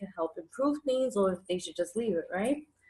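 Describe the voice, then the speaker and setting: A woman speaks in a New York accent at a moderate pace. Her medium pitch moves with lively intonation. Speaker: tarot reader. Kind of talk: interview. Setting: livestream.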